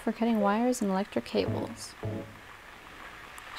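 A woman speaks over noticeable background noise. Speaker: gaming video creator. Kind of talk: let's play commentary. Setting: home recording at night, lights off. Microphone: new microphone, better audio.

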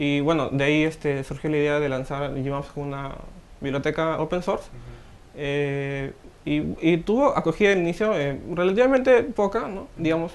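Here a man speaks at a fairly high pitch. His intonation rises and falls in an ordinary way. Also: moderate pace. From Trujillo, northern Peru. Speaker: software developer and student. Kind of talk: interview. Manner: hesitant, many fillers.

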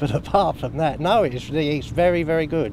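A man talks at a moderate pace with ordinary pitch variation. The sound is dry with no echo, and background noise is noticeable. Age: 60s. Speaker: pensioner; interviewee. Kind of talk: casual interview. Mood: cheerful, pleased. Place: street. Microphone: handheld.

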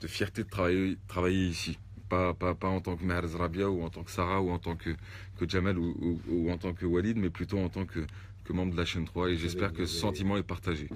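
With a very deep, low pitch, a man talks at a fairly quick pace in a monotone, flat intonation. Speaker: radio station staff member. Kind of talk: casual address to colleagues. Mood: earnest, proud. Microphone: phone near.

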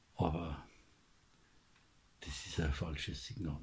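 A man with a Bavarian accent speaks in a dark, mellow tone with vocal fry. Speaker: commentator. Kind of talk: political commentary monologue. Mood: indignant, critical.

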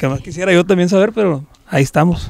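The man is heard over a quiet background with a dry sound and no echo. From Sinaloa, Mexico. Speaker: norteño band musician; interviewee. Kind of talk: interview. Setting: recording studio. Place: studio. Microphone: handheld.

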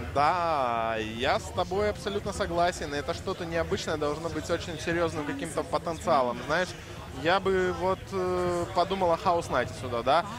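Lively intonation at a moderate pace over music in the background. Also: man, fairly high pitch for a man. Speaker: esports commentator. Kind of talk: live commentary.

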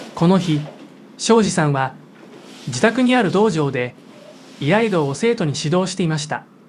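Long pauses come often. Between them, the speech moves at a moderate pace. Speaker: TV news narrator. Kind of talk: TV news narration.

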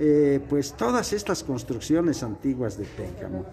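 A man's voice swings very widely in pitch. Light background noise sits behind it. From Mexico, Guanajuato. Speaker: local news reporter. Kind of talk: on-location report and interview. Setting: indoors at cultural center, dim candlelight. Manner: formal. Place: hall. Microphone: phone near.

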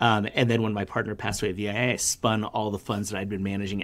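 A man with an American accent speaks at a very fast pace in a fairly low voice with fairly even intonation. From New York City, Brooklyn; New York City. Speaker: venture fund manager; podcast guest. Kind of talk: interview. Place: office.

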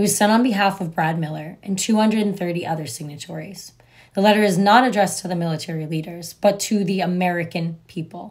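Her medium-pitched, somewhat breathy voice races at a very fast pace, with ordinary pitch variation, as this woman speaks over a quiet background. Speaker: political commentary vlogger. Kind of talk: news commentary. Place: home room. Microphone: phone near.

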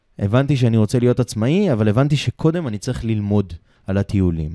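Recorded very cleanly with a silent background and a dry, close sound with no echo, a man speaks with a dark, mellow tone. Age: 30s. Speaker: travel company owner. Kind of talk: casual chat. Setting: studio, Ramat Gan.

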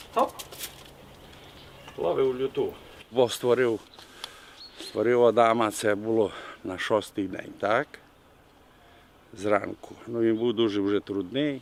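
Amid noticeable background noise, a man with a Bukovinian accent speaks at a very slow pace with fairly even intonation and long, frequent pauses. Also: medium pitch for a man. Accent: Bukovinian village dialect. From Bukovina, Ukraine. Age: 70s. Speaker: retired history teacher, village craftsman. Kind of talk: interview answer. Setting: outdoors. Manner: humorous, colourful.

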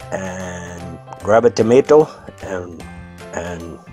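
Music plays in the background. A man with a fairly low pitch speaks at a very slow pace. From United States. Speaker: husband voicing his wife's makeup tutorial. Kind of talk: comedic makeup tutorial voiceover. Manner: hesitant, halting, improvised, humorous.

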